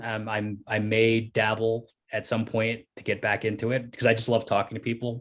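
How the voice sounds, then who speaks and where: In a very clean recording with a silent background, a man uses a normal speaking voice at a medium pitch and a moderate pace. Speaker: comic book writer. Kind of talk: Q&A interview. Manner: casual, many fillers.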